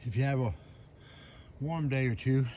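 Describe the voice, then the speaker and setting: In an American accent, a man speaks at a fairly quick pace in a fairly high pitch. His voice is somewhat breathy, with a dark, mellow tone. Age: 70s. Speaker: hiking vlogger. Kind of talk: casual narration while hiking. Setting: outdoors on a trail.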